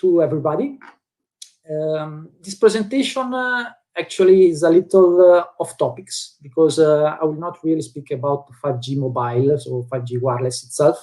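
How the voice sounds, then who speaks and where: In an Italian accent, a man speaks at a moderate pace with a fairly high pitch and lively intonation. His tone is dark and mellow. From Italy. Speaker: telecom sales engineer. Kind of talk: technical presentation. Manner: halting.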